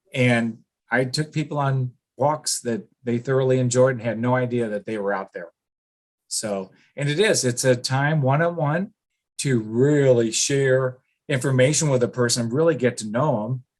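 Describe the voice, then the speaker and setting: Here is a man with an unremarkable speaking voice at a medium pitch. He talks at a moderate pace with ordinary pitch variation. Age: 60s. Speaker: business owner and cold calling trainer. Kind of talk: podcast interview.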